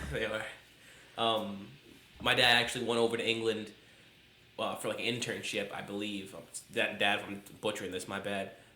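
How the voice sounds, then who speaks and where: A man's fairly low, monotone, flat voice at a fairly quick pace, with audible room echo and noticeable background noise. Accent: American. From upstate New York. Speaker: podcast co-host. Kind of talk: casual chat. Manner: halting, many fillers.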